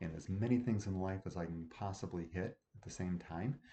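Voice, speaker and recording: Against a quiet background, a man speaks with a very deep, low pitch and a dark, mellow tone that is somewhat breathy. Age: 50s. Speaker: self-improvement vlogger; loan officer. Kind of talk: video diary monologue. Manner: casual, filler-heavy.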